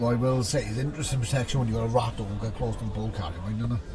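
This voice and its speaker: A man with a Welsh accent speaks at a very fast pace, with audible room echo and music in the background. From Wales. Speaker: tabletop game tournament commentator. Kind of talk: live commentary. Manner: animated.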